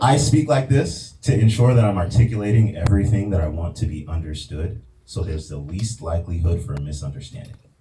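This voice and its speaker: A man's fairly low voice at a very fast pace, with very wide pitch swings, hardly any pauses and noticeable background noise. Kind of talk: formal, precise. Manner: crisp, carefully articulated.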